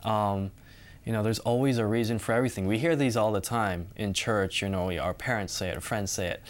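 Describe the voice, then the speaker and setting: A man speaks in a Californian accent at a fairly low pitch. His pace is fairly quick and his pitch variation ordinary. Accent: Californian American. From Southern California. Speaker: student. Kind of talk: Bible study discussion.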